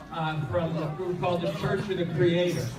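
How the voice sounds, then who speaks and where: Loud and high-pitched, a man speaks with audible room echo and noticeable background noise. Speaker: conference speaker on extremist groups. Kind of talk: presentation with slides. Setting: conference room with audience.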